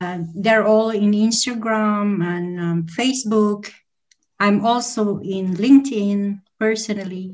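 A woman talks at a very slow pace with a medium pitch and fairly even intonation. Her voice is somewhat breathy. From Philippines. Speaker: entrepreneur and events manager. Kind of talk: interview. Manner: hesitant, many fillers.

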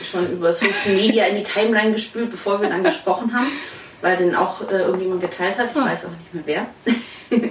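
Over noticeable background noise and audible room echo, a woman speaks with fairly even intonation. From Swabia. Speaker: podcast host. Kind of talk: casual interview.

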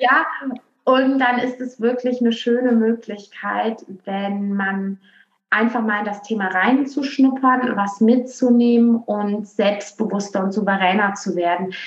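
Speaking in a slight Rhineland accent, a woman with a fairly high pitch talks at a fairly slow pace with fairly even intonation. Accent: slight western German (Rhineland). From western Germany, Aachen. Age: young. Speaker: marketing consultant. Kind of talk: podcast interview.

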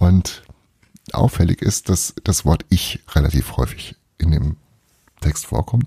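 A man with a very deep, low pitch and vocal fry talks with lively intonation in a dark, mellow tone, recorded with a dry, close sound and no echo. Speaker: podcast host. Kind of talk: casual monologue. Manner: quiet reading voice for the book passage.

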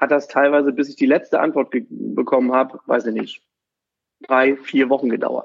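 A man speaks at a moderate pace. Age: 40s. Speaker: insurance broker. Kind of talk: interview. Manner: halting, many fillers.

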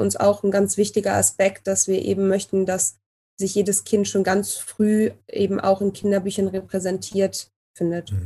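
A woman speaks at a fairly slow pace in a monotone, flat intonation. Her medium-pitched voice is somewhat breathy, with a dark, mellow tone. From Cologne, Germany. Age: 30s. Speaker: student, illustrator and publisher founder. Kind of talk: casual interview.

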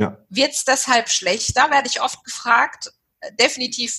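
A woman with a bright, sharp tone and a high pitch speaks at a fairly slow pace. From Germany, Walldorf (Baden-Württemberg). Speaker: management consultant, business owner. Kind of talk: interview conversation.

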